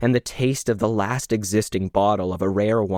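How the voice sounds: Natural voice, reading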